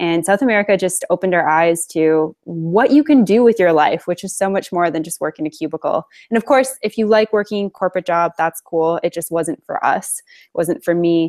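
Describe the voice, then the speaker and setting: A normal speaking voice from a woman with a Canadian accent, fairly low in pitch with ordinary pitch variation, moving at a fairly quick pace with hardly any pauses. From Alberta, Canada. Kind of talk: interview. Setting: video call.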